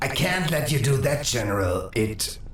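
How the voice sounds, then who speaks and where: With clear background noise and a slight echo, a man performs a put-on character voice at a moderate pace. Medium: machinima. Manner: measured, dry humor.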